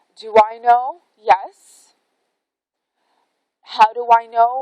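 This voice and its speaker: The sound is dry and close, with no echo. A woman does the talking. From Canada. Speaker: spiritual vlogger. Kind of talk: casual vlog monologue. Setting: outdoors in a forest. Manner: rambling, hesitant with fillers.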